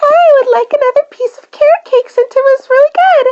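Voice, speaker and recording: A squeaky, female-sounding put-on character voice runs at a fairly quick pace with an extremely high pitch. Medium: read story. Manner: cheerful.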